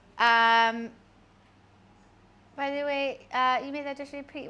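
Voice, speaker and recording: Her tone is bright and sharp. The woman speaks with a British accent. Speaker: streamer. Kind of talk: casual live-stream chat while cooking.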